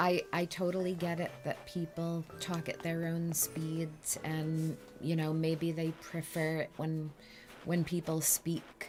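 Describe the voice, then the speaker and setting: Over music in the background, a woman with a fairly low pitch talks at a very slow pace, her loudness very even and her intonation monotone and flat. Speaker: streamer's mother showing her game island. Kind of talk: casual chat. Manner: slow, deliberate.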